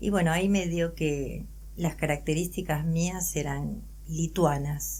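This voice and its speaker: At a very slow pace, a woman speaks with audible room echo. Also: very even loudness. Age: 60s. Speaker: adoptee and psychologist. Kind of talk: interview testimony.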